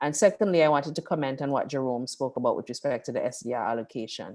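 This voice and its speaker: Her pitch is very deep and low for a woman. She talks at a very fast pace with lively intonation. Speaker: debt manager. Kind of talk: panel discussion.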